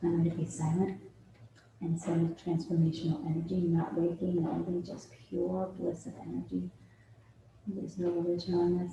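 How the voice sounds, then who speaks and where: A woman with an American accent speaks at a fairly low pitch in a dark, mellow tone. Her delivery has a calm, soothing tone and long, frequent pauses. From New York, USA. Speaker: healer and workshop facilitator. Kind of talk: guided meditation and breathwork. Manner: calm, soothing, slow.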